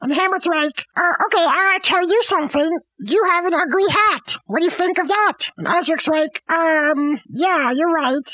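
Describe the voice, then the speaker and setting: A woman speaks in an extremely high, raised and projected voice at a moderate pace, with hardly any pauses. Her loudness is very even, and the sound is dry and close with no echo. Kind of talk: stand-up comedy routine. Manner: animated, playful storyteller doing goofy voices.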